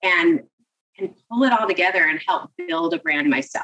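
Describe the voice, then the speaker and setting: A woman talks at a moderate pace. Hers is an unremarkable speaking voice. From Seattle, US West Coast. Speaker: marketing executive. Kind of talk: interview.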